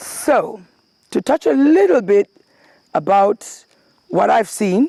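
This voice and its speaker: In a Kenyan accent, a woman speaks at a very slow pace with very wide pitch swings and a dark, mellow tone, the sound dry and close with no echo. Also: medium pitch for a woman. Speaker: former local councillor and charity worker. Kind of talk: interview answer.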